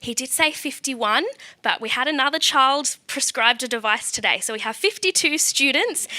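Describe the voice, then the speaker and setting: With an Australian accent, this bright, sharp-toned voice moves at a moderate pace with ordinary pitch variation. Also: woman, high pitch for a woman. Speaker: special education teacher presenting at event. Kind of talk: conference presentation.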